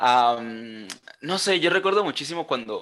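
A man's voice sounds bright and sharp, with ordinary pitch variation. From Colombia. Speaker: architect. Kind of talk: casual chat.

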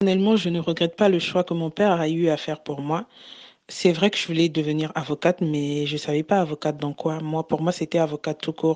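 Against a quiet background, a woman with a very deep, low pitch speaks at a fairly quick pace with fairly even intonation. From Republic of the Congo. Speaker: transport coordinator. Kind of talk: group discussion.

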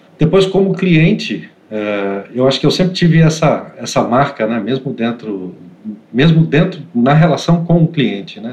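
Vocal fry colors a man's speech as his pitch swings very widely at a moderate pace. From Santos, São Paulo state, Brazil. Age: 40s. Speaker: IT operations manager. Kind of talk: interview conversation. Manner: hesitant, many fillers and repetitions.

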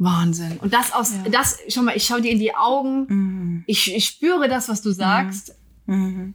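A somewhat breathy woman speaks at medium pitch with very even loudness and ordinary pitch variation. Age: 40s. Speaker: podcast host. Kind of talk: casual chat. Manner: fast when anxious.

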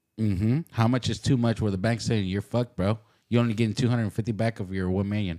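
On a very clean recording with a silent background, a man with a dark, mellow tone talks at a very fast pace with fairly even intonation. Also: fairly low pitch for a man. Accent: American. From Dallas, Texas (Oak Cliff). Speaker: podcast co-host. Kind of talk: casual chat. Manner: halting.

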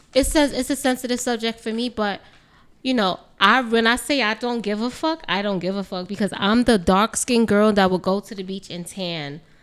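With a New York accent, a woman speaks at a fairly high pitch and with ordinary pitch variation. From New York City. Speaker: makeup artist. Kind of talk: casual chat.

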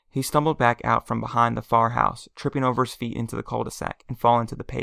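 A man's fairly quick speech with a dry, close sound with no echo. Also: very clean recording, silent background. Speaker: self-published author reading own story. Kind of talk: audiobook reading aloud.

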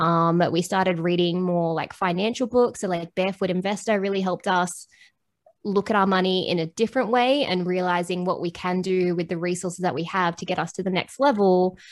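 A woman with an Australian accent speaks at a fairly quick pace with fairly even intonation on a very clean recording with a silent background. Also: medium pitch for a woman. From Australia, Bendigo Victoria and Sydney. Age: 30s. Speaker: reseller and podcaster. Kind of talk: casual interview chat.

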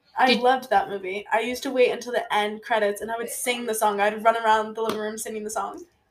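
A woman with a fairly high voice at a very fast pace, fairly even intonation and hardly any pauses. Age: 20s. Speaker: podcast co-host, college student. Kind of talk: casual chat. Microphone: too far from the mic.

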